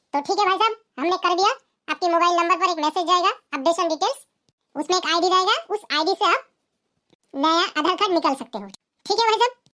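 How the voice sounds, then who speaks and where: At a very fast pace, a squeaky, cartoonish character voice speaks with ordinary pitch variation. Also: woman, extremely high pitch for a woman. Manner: polite, formal.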